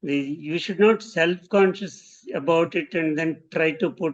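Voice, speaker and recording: In an Indian accent, a man with a fairly high pitch speaks at a very slow pace with ordinary pitch variation. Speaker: design professor. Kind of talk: interview conversation. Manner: halting.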